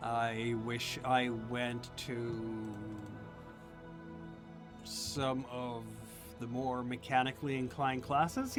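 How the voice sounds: A man puts on a character voice at medium pitch, speaking at a very slow pace. He leaves long, frequent pauses while loud music plays in the background.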